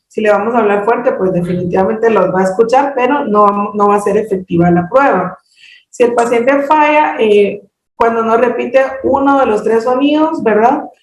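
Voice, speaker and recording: At a moderate pace, a woman speaks with a fairly high pitch and ordinary pitch variation, with audible room echo. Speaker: hearing screening trainer. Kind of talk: training presentation. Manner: halting, many fillers.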